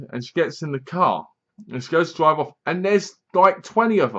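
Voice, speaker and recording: A man's intonation is lively, and his pace stays moderate. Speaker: film reviewer. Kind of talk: casual review commentary. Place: home room. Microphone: webcam.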